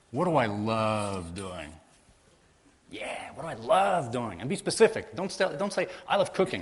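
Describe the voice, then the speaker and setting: A man talks in an energetic tone with very wide pitch swings and big swings in loudness. Vocal fry runs through his voice. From Portugal. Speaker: offshore solo sailor and entrepreneur. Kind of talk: conference motivational talk. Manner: fast, energetic.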